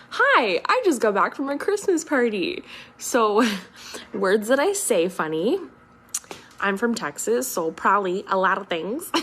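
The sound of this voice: A woman's raspy, put-on character voice, fairly high in pitch with very wide pitch swings, at a moderate pace broken by long, frequent pauses.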